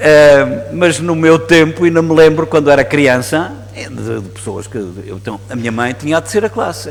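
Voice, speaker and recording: The speaker, in a European Portuguese accent, uses very wide pitch swings at a moderate pace with hardly any pauses, amid noticeable background noise and audible room echo. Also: man, medium pitch for a man. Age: 60s. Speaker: priest. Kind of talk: sermon. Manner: halting.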